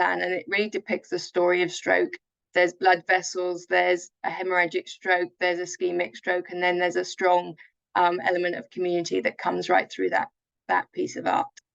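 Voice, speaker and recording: With a London accent, a woman speaks at a moderate pace in a dry, close recording with no echo. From England, South London. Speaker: charity chief executive. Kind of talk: webinar presentation.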